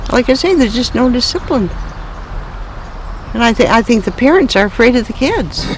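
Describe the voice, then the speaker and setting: Amid noticeable background noise, a woman speaks at a high pitch with an American accent. Her loudness stays very even, and she takes long, frequent pauses. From Ontario, Canada, then northern Wisconsin. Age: 80s+. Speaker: elderly local resident. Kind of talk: oral history interview. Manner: halting.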